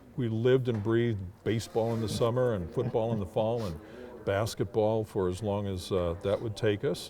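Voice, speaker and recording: This man has a plain, everyday voice, fairly low in pitch, delivered at a moderate pace. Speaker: public address announcer. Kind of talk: interview answer.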